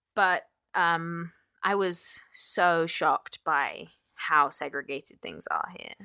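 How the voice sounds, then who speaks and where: A woman's very slow speech with an English accent and big swings in loudness, dry and close with no echo, in a very clean recording with a silent background. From England (London). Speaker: comedian. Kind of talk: casual chat.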